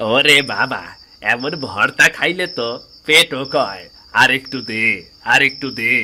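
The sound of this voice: A man does a cartoonish character voice with a bright, sharp tone. He speaks at a slow pace with ordinary pitch variation. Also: medium pitch for a man.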